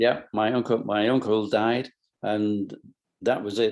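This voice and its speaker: A man with a Lancashire accent speaks in a fairly low pitch with fairly even intonation. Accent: northern English (Lancashire). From Bolton, England. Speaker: businessman, company founder. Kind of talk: interview answer.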